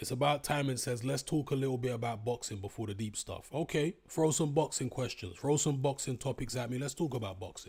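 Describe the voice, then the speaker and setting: Medium in pitch with ordinary variation, a man speaks somewhat breathily. He goes at a fairly quick pace with hardly any pauses. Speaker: YouTuber live-streamer. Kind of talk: casual live stream chat. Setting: live stream. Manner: off the cuff.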